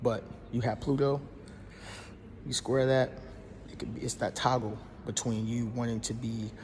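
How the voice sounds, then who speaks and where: A somewhat breathy man's voice, monotone and flat, broken by long, frequent pauses. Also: medium pitch for a man. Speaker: astrology content creator. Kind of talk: casual explainer monologue. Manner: fast; halting, many fillers and restarts.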